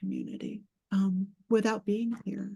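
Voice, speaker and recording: In an American accent, a woman with a dark, mellow tone and a medium pitch talks at a fairly slow pace, sounding somewhat breathy. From US South, Georgia. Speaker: poet and writing teacher. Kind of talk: panel discussion. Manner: halting, many fillers.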